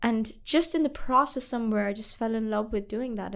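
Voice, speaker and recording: A woman speaks with a Pakistani accent. Her pitch is fairly high and her intonation fairly even. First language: Urdu. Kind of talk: interview.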